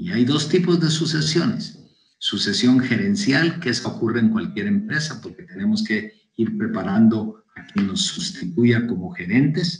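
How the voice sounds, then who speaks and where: Very wide pitch swings and a fairly slow pace from a man. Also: fairly high pitch for a man. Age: 70s. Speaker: business consultant. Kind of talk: interview.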